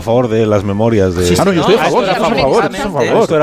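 Someone is reading aloud in a natural voice. That is all there is to it.

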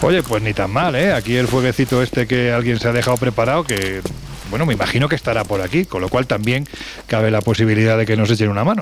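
A man's medium-pitched voice at a very fast pace, with very even loudness, ordinary pitch variation and music in the background. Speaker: radio host. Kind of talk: casual chat.

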